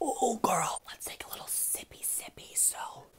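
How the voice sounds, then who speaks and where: A breathy whisper at a moderate pace. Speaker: video creator. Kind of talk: casual vlog chat. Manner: breathy mock-ASMR whisper, exaggerated. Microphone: earbuds.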